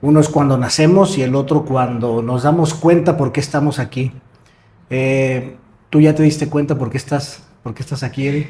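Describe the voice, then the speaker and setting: Here a man talks at a moderate pace in a fairly high pitch with fairly even intonation. His tone is dark and mellow, and somewhat breathy. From Mexico, Morelia. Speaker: podcast host. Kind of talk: interview.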